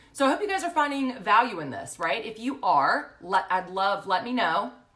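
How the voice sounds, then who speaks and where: Noticeable background noise runs through this clip. Over it, a woman speaks at a moderate pace. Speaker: social media business coach. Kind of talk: facebook live tutorial. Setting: live stream from home. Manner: loud; casual, chatty.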